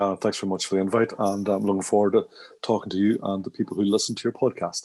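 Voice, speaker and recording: Talking very fast with a Northern Irish accent, a man has a fairly low, dark and mellow voice with monotone, flat intonation. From Northern Ireland, Derry. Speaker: management consultant and trainer. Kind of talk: podcast interview.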